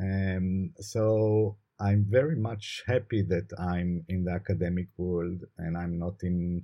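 Speaking at a fairly slow pace with an Israeli accent, a man has a fairly low pitch, a dark, mellow tone, fairly even intonation and a somewhat breathy quality. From Israel, Jerusalem. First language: Hebrew. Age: late career. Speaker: law professor. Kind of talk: interview. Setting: video call.

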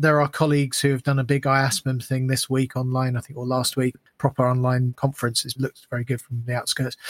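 Very fast, somewhat breathy speech, monotone and flat, with a dry, close sound and no echo. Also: man. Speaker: mastering engineer and part-time teacher. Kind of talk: casual academic discussion.

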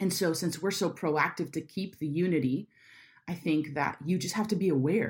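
On a very clean recording with a silent background, a woman with an American accent sounds somewhat breathy, her pitch varying in an ordinary way. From Florida, Jacksonville. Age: 30s. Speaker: church creative director. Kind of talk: interview. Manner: direct, to the point.

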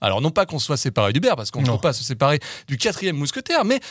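Pitch swings very widely throughout. The recording is dry and close, with no echo. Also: man, very clean recording, silent background. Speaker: podcast host. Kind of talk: casual chat.

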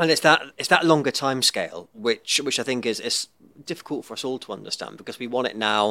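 A man with a Liverpool accent at a very fast pace, his tone bright and sharp, medium in pitch with ordinary pitch variation. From Liverpool, England. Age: 40s. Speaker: podcast host and entrepreneur. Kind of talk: podcast interview. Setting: studio.

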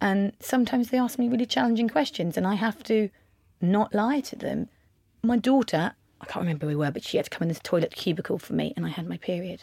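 In an English accent, a voice with a dark, mellow tone and lively intonation races at a very fast pace, dry and close with no echo on a very clean recording with a silent background. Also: woman, medium pitch for a woman. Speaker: makeup artist and beauty entrepreneur. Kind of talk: casual interview. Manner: louder.

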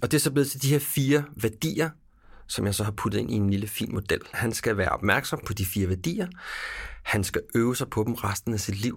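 At a fairly quick pace, a man speaks in a somewhat breathy voice of medium pitch with ordinary pitch variation. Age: 40s. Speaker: podcast host. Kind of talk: interview conversation.

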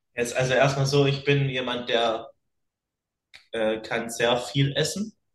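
Somewhat breathy, a man at medium pitch speaks at a very slow pace with ordinary pitch variation and long, frequent pauses. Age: young. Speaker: fitness podcast co-host. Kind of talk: casual chat. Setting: video call.

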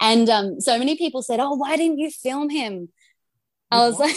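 A woman speaks in an Australian accent at a high pitch. Her pitch variation is ordinary. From Australia, Gold Coast. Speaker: TV presenter. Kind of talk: casual chat.

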